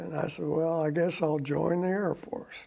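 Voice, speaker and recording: Speaking with an American accent, this man has a fairly high pitch and a dark, mellow tone. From Oklahoma and Texas. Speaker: war veteran. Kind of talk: interview.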